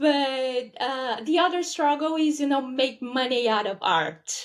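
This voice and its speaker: On a very clean recording with a silent background, a woman with a high pitch speaks fairly slowly with lively intonation. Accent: Portuguese. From Brazil. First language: Portuguese. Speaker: podcast guest. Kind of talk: casual chat.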